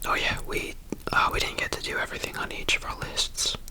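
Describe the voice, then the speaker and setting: Someone whispers at a moderate pace. Background noise is noticeable. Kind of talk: ASMR travel vlog narration. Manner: whispered.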